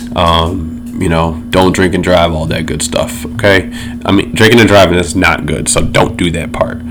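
Noticeable background noise and audible room echo surround the recording. A man with a very deep, low pitch speaks with fairly even intonation. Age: 30s. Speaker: podcast host. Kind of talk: casual solo chat. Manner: casual, filler-heavy.

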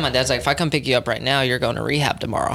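A man with an American accent. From Texas, Dallas. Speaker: recovery program manager. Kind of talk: testimony.

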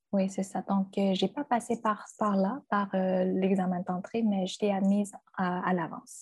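A woman talks at a fairly slow pace in a medium pitch. Her voice is somewhat breathy. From China. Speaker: translator and university lecturer. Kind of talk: interview.

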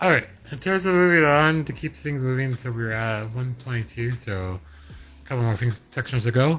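A plain, everyday voice, a man's at medium pitch with an American accent, lively intonation and a moderate pace. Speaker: podcast host. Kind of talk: casual chat.

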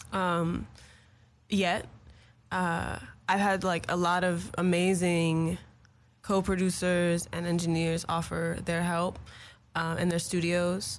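With audible room echo, a woman with an American accent speaks at a very slow pace and fairly low pitch in monotone, flat intonation, with long, frequent pauses. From Los Angeles, US. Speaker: singer-songwriter. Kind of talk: casual interview. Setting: studio.

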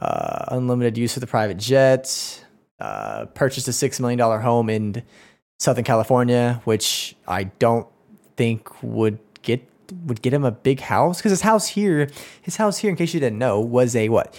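On a very clean recording with a silent background, a man with an American accent speaks at a moderate pace and medium pitch with ordinary pitch variation. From Oklahoma. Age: 20s. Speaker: sports podcaster. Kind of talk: solo rant. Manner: animated.

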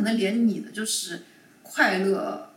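A woman is heard with noticeable background noise. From China, Shanghai. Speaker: corporate lawyer. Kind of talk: casual chat.

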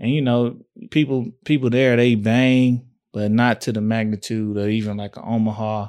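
A man speaks at medium pitch and a moderate pace with monotone, flat intonation. The recording is very clean, with a silent background. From East Texas (Tyler). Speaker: podcast co-host. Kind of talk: casual chat.

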